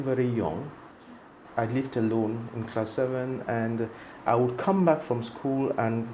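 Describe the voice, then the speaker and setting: A man talks fairly slowly at a medium pitch with fairly even intonation. Audible room echo and noticeable background noise surround him. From Cameroon, Northwest region. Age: 60s. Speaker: medical doctor and entrepreneur. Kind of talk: interview.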